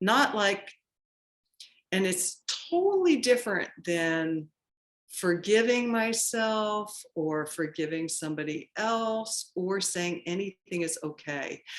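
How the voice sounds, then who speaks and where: Her pitch is medium, with ordinary variation. The woman talks at a very slow pace. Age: 70s. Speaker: poet. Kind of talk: interview conversation. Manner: halting, many fillers and restarts.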